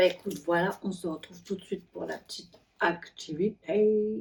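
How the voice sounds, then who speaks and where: Moderate pace, somewhat breathy delivery, big swings in loudness and fairly even intonation. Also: woman, medium pitch for a woman. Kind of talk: casual craft video talk to camera.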